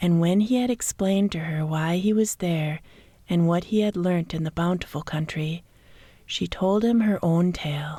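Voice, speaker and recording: A soft-spoken woman's voice, somewhat breathy and dark and mellow in tone, fairly low in pitch, with an American accent, in a very clean recording against a silent background. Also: ordinary pitch variation, moderate pace. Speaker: relaxation coach. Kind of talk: sleep story. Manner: soft-spoken, relaxing.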